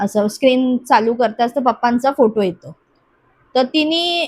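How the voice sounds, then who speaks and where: Lively intonation from a woman, pitched high. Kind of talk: personal paranormal story told in an interview.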